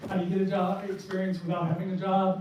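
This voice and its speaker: Speaking high for a man, his voice carries audible room echo amid noticeable background noise. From New Hampshire, US. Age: 60s. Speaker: indie game developer. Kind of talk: presentation talk.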